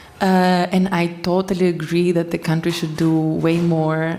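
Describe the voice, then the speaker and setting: Noticeable background noise sits behind the speaker. A woman talks at a fairly slow pace. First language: Greek. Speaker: poet. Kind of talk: panel discussion. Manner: halting.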